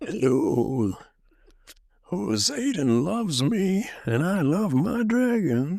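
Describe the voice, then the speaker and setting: Doing a put-on character voice, a man speaks high-pitched at a very slow pace, his pitch swinging very widely. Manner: character voice, acted.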